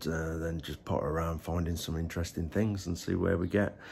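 Light background noise sits behind a man talking. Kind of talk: casual vlog chat. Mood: cheerful, slightly under the weather. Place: home room. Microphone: phone near.

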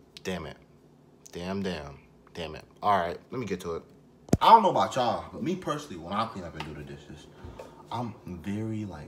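Speaking at a fairly quick pace in a fairly low pitch, a man's loudness swings widely over noticeable background noise. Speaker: vlogger. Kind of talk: casual vlog chat.

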